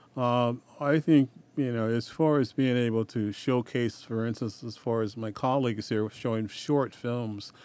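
With an American accent, a man delivers an unremarkable speaking voice at medium pitch and a moderate pace, his intonation fairly even. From Oregon. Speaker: film festival organizer. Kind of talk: casual radio interview.

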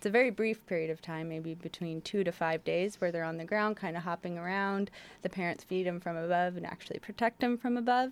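A woman with an American accent speaks in a normal speaking voice at a fairly low pitch, moving at a fairly quick pace with hardly any pauses and ordinary pitch variation. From Portland, Oregon. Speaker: wildlife rehabilitation coordinator. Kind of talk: radio interview. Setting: studio.

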